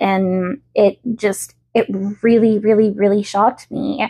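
At a moderate pace, the voice has a dark, mellow tone and a slight Southern US accent. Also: woman. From US South. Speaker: podcast host. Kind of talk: casual solo podcast. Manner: chatty, filler-heavy.

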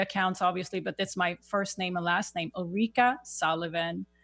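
A woman with a Swedish accent and fairly even intonation, against a quiet background. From Sweden. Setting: video call.

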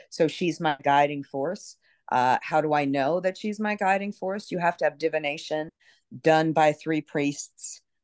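A woman with an American accent speaks at a fairly slow pace in a very deep, low pitch with ordinary pitch variation. The sound is dry and close with no echo, over a quiet background. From New York City (Brooklyn). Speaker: voodoo priestess and author. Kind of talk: interview.

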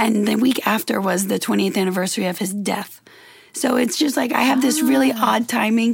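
A woman's American-accented voice with lively intonation, over noticeable background noise. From Louisiana, US South. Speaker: model and influencer. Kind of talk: casual chat.

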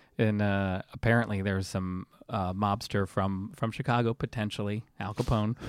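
Someone with an American accent speaks at a moderate pace with fairly even intonation, the sound dry and close with no echo. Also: man, fairly low pitch for a man. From US, military family moving around; teen years near Tampa, Florida. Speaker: pizza blogger. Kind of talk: casual chat.

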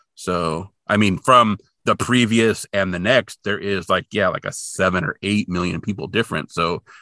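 Against a quiet background, a man's bright, sharp tone comes through in a dry, close sound with no echo. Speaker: podcast host. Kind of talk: casual chat.

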